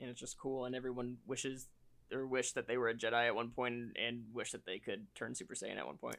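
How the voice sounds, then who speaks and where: A man at medium pitch, fairly quick, with an ordinary speaking voice and ordinary pitch variation. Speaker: podcast co-host. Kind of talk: casual chat.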